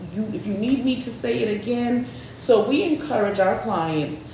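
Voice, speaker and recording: Woman with lively intonation at a moderate pace, amid audible room echo and noticeable background noise. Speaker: real estate agent. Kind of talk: casual chat.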